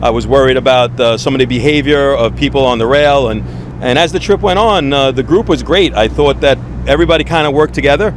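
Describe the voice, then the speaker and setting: A man with a New York accent talks at a very fast pace. Noticeable background noise can be heard. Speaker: fishing trip organizer. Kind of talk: interview. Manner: halting, with many fillers.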